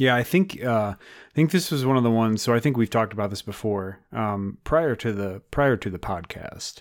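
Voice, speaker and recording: In a plain, everyday voice of medium pitch, a man talks at a moderate pace with hardly any pauses, lively intonation and big swings in loudness, on a very clean recording with a silent background. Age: 30s. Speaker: podcast co-host and guitarist. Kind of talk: casual chat.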